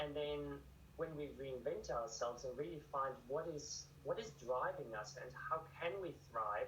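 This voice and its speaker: A man with a German accent at a fairly slow pace, amid audible room echo and noticeable background noise. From Germany. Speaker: author and ultramarathon runner. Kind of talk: TV news interview.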